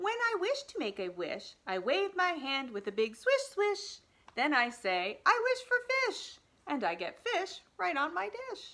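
A woman's raised, projected voice, bright and sharp in tone, with very wide pitch swings at a fairly slow pace. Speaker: storytime reader. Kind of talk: reading a picture book aloud to children. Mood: warm, playful. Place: home room. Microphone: phone near.

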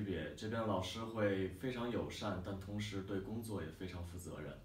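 A man talks at a fairly slow pace in a fairly low voice. Room echo is audible around him. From Beijing, China. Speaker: language school student. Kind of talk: testimonial talk to camera. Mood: calm, positive. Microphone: camera far.

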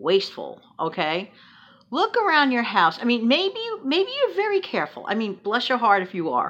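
A woman speaks at a high pitch. Her voice moves through very wide pitch swings. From New York City. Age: 60s. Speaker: frugal living vlogger. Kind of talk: casual vlog monologue. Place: home room. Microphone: phone near.

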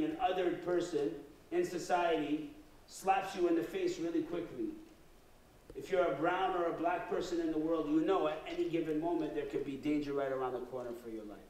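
A man's high-pitched voice at a fairly quick pace, with audible room echo. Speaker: guest lecturer. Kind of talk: lecture. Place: hall.

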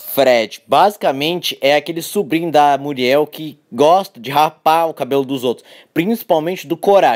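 A man with fairly high pitch and an ordinary speaking voice talks at a moderate pace. He uses ordinary pitch variation and hardly any pauses. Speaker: YouTuber. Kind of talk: scripted narration.

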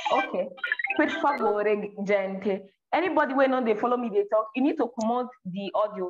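Music plays in the background. The speaker talks at a fairly slow pace with lively intonation. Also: woman, fairly high pitch for a woman. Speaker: language teacher. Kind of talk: live online lesson. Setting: video call. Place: home room.

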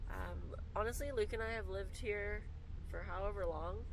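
Through noticeable background noise and a dry sound with no echo, a woman talks at a moderate pace. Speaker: travel vlogger passenger. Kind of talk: casual vlog chat. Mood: cheerful, excited. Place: car. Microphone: camera far.

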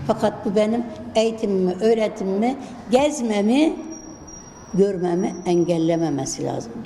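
Amid noticeable background noise and audible room echo, a woman with a medium pitch and lively intonation talks at a fairly slow pace with long, frequent pauses. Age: 70s. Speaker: retired teacher. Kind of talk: interview.

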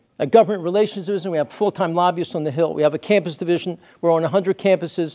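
Against a quiet background, a man talks at a very fast pace in a high pitch, his dark, mellow tone carrying fairly even intonation. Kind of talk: lecture. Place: church.

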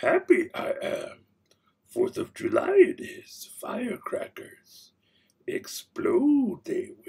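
A man adopts a put-on character voice, pitched extremely high and delivered at a very slow pace. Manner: inverted word order, cryptic.

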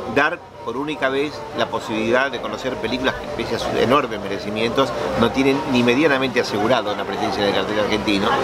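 Over loud background noise, a man talks at a very fast pace with ordinary pitch variation. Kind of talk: interview answer. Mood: thoughtful, earnest.

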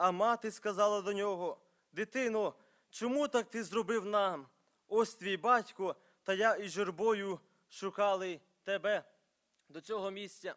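Long, frequent pauses break up a man's fairly slow speech against a quiet background. His pitch is high, with fairly even intonation. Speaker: preacher. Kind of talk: sermon. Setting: church. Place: church. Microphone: podium.

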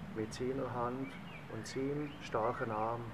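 Over noticeable background noise, a man with a Swiss German accent talks at a very slow pace. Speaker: reader. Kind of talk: psalm reading in dialect. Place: garden. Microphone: camera far.

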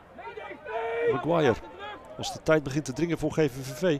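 With noticeable background noise behind him, a man talks at a fairly quick pace in an excited tone with lively intonation. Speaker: football commentator. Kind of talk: football commentary. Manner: urgent, excited at chances.

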